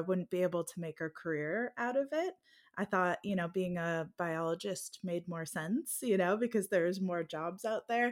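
An unremarkable speaking voice at a moderate pace with hardly any pauses and ordinary pitch variation, in a very clean recording with a silent background. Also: woman. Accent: American. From United States. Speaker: fantasy romance author. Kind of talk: casual interview.

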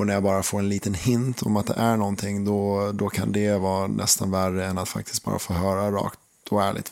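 A man's fairly low voice at a fairly quick pace. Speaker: podcast co-host, partner in a couple. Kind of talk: intimate relationship conversation. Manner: calmer, less expressive than partner.

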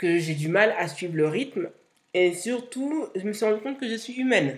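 Speaking at a fairly slow pace, a woman uses a medium pitch and lively intonation. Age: 30s. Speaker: podcast host, content creator and entrepreneur. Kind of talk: solo podcast monologue.

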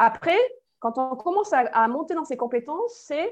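A woman talks fairly slowly, her pitch swinging very widely up and down. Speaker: human resources management consultant and lecturer. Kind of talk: interview. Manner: hesitant, many fillers.

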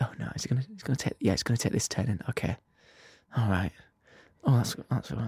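A man's put-on character voice at medium pitch, mumbling at a moderate pace with lively intonation and long, frequent pauses. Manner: mumbling to himself.

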